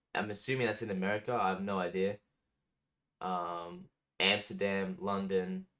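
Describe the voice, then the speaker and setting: This man has an Australian accent and a fairly low pitch, with a bright, sharp tone. His delivery is monotone and flat, at a moderate pace broken by long, frequent pauses. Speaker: music reaction youtuber. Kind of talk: casual reaction commentary. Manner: casual, hesitant with fillers.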